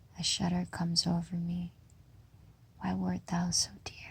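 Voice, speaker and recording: A gentle tone at a very slow pace. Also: woman. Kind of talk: poetry reading. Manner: slow, hushed, gentle.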